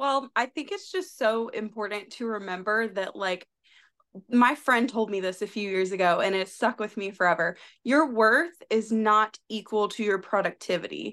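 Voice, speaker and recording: A woman with an American accent and a plain, everyday voice, fairly high in pitch with ordinary variation, at a moderate pace. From US South, South Carolina. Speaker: occupational therapist and content creator. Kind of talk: casual chat. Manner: laughs often.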